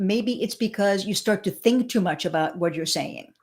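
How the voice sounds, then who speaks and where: With a Spanish accent, a woman speaks using lively intonation. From Suburban New York, born in Cuba. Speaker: speaker coach, former broadcaster. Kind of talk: interview. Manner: stutter (mostly overcome).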